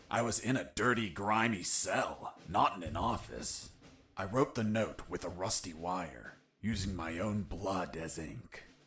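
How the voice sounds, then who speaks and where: In a cartoonish character voice, a man talks fairly slowly at a very deep, low pitch with lively intonation. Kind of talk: parody action-hero voice-over. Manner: deadpan, wisecracking.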